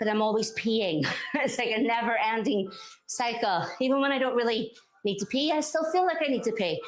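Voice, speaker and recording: A woman with a Northern Irish accent speaks at a fairly high pitch and a fairly quick pace, with lively intonation and an energetic tone. Her loudness is very even, and the room echo is audible. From Northern Ireland. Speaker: fitness instructor. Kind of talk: workout instruction. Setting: live-streamed workout. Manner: energetic, encouraging.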